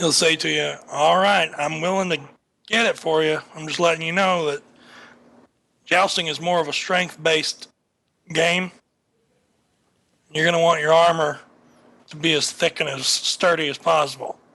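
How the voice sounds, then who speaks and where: Putting on a raspy character voice, a man speaks at a fairly high pitch and a moderate pace, in a monotone, flat intonation with long, frequent pauses. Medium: actual play. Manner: folksy, colloquial salesman talk.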